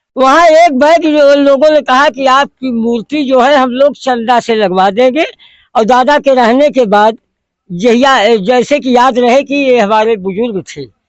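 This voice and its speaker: A man's voice at an extremely high pitch, with ordinary pitch variation. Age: 70s. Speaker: village elder, local party supporter. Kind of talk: interview.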